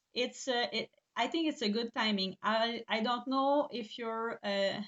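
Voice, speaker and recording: Speaking in a Quebec accent, a woman with a fairly high pitch talks at a fairly slow pace with fairly even intonation. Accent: Québécois French accent in English. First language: French. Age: 40s. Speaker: eyelash extension trainer and business owner. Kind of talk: live webinar presentation. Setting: online live stream. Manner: halting, many fillers.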